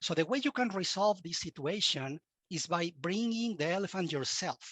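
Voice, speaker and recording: Using a Latin American accent, a man talks at a moderate pace and high pitch with lively intonation, in a dry, close sound with no echo. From Mexico. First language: Spanish. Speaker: cybersecurity expert and university instructor. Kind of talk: podcast interview.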